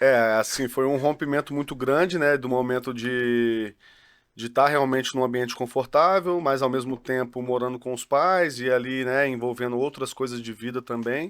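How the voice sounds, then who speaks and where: A man with an ordinary speaking voice, medium in pitch, at a moderate pace with fairly even intonation, on a very clean recording with a silent background. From Juiz de Fora, Minas Gerais, Brazil. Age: 30s. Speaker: football academy director and coach. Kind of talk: casual podcast chat.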